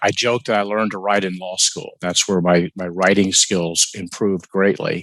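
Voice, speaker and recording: A man's fairly low voice at a moderate pace, recorded dry and close with no echo over a quiet background. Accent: Southern US. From US South, Atlanta, Georgia. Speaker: novelist. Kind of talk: interview.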